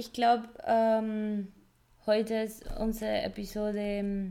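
A woman with a Spanish accent speaks in a fairly high pitch and a dark, mellow tone, her intonation monotone and flat, with long, frequent pauses. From Colombia. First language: Spanish (speaking German). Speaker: podcast co-host. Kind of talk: casual chat. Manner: halting, searching for words.

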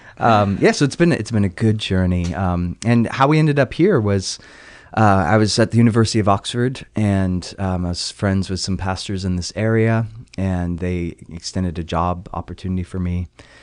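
Over a quiet background, a man talks at a moderate pace with a fairly low pitch and ordinary pitch variation. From England, moved to Southern California at eight. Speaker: pastor. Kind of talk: podcast interview.

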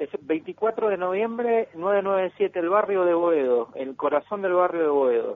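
A man's high-pitched voice at a very slow pace, with lively intonation and hardly any pauses. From Argentina, Patagonia (Comodoro Rivadavia). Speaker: folk musician and dancer. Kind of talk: casual radio interview. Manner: hesitant, many fillers.

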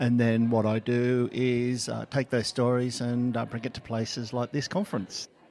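Over noticeable background noise, a man of medium pitch speaks at a fairly slow pace, with fairly even intonation and hardly any pauses. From Australia.

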